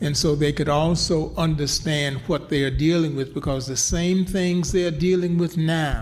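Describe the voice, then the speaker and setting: A somewhat breathy man with an American accent and fairly even intonation. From US South. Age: 80s+. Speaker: civil rights activist and author. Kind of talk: interview.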